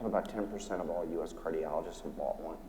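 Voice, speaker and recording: Audible room echo surrounds a man as he talks. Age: 60s. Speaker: physician and company founder. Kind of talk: panel discussion.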